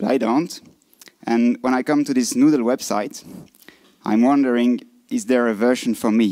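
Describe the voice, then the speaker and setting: A man speaks at a moderate pace with a French-Swiss accent. His pitch is medium, with ordinary variation. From French-speaking Switzerland. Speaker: design conference speaker. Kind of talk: lightning talk presentation. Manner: halting.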